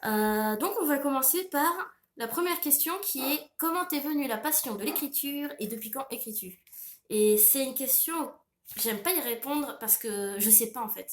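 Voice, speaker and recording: The speech has lively intonation and big swings in loudness. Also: woman, high pitch for a woman. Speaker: author and illustrator. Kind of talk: Q&A monologue to camera. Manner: hesitant, many fillers.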